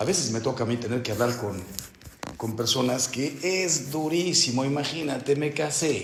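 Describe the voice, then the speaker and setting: A man talks at a fairly slow pace with lively intonation. Noticeable background noise and audible room echo fill the recording. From Mexico. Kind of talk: spiritual retreat meditation talk.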